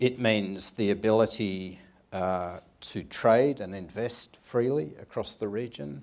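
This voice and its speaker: A man with an Australian accent speaks at a fairly slow pace in a fairly low pitch, his pitch varying an ordinary amount. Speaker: intelligence official. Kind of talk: panel discussion. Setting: stage with audience. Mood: calm, measured, formal. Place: stage. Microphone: lapel.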